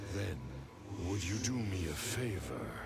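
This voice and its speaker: Loud background noise fills the clip. A man puts on a character voice, speaking fairly slowly at a fairly low pitch. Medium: machinima.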